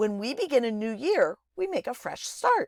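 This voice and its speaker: A put-on character voice that sounds female, high-pitched, with very wide pitch swings at a moderate pace. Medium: read story.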